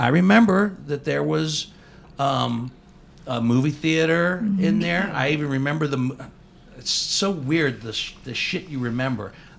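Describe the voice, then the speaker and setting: At a moderate pace, a man with a fairly high pitch speaks with lively intonation over noticeable background noise. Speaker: podcast host. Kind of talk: casual podcast conversation.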